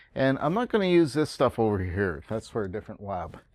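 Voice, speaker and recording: A man talks at a fairly quick pace with lively intonation in a plain, everyday voice. The sound is dry with no echo, and the background is quiet. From Canada. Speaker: college instructor. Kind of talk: tutorial. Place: classroom.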